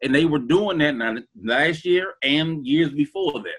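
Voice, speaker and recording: Here a man with an American accent and a fairly high pitch talks with ordinary pitch variation. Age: 40s. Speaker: sports podcast panelist. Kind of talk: casual chat. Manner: halting, repeats words.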